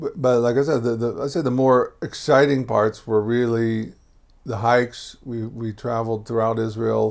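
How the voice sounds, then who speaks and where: A man at medium pitch talks at a moderate pace with fairly even intonation in a plain, everyday voice. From Texas, Houston. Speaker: immigrant to Israel, former program worker. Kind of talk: interview, life story. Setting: at his home.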